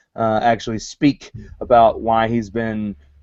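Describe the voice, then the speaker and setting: A man with a Southern US accent speaks at medium pitch. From US South. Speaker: wrestling show host. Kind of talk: live show discussion.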